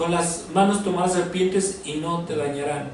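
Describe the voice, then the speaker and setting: Through noticeable background noise and audible room echo, a man speaks with ordinary pitch variation. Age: 60s. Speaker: pastor. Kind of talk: sermon.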